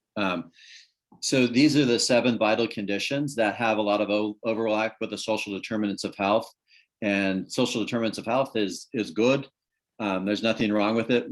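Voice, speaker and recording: Against a quiet background, a man of medium pitch speaks at a fairly quick pace with fairly even intonation. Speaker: public health speaker. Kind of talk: presentation. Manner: fast.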